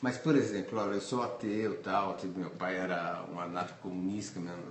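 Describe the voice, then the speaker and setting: Over noticeable background noise and audible room echo, a man with a very deep, low pitch talks at a moderate pace with fairly even intonation. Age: 60s. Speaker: photographer. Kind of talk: interview. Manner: halting, repetitive.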